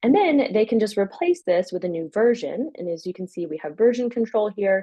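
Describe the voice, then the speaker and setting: A woman's fairly high voice at a fairly quick pace, full of very wide pitch swings, against a quiet background. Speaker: software company co-founder giving product demo; presenter. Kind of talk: software demo webinar. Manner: fast. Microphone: webcam.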